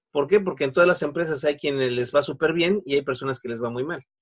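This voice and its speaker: Speaking very fast, a man with a fairly high pitch and ordinary pitch variation comes through in a dry, close sound with no echo. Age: 40s. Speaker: network marketing consultant. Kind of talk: interview.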